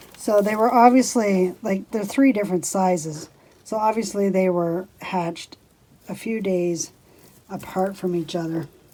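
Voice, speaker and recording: A dark, mellow tone at a fairly slow pace. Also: woman, medium pitch for a woman, ordinary pitch variation. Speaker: homesteading vlogger. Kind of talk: casual vlog tutorial. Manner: soft-spoken.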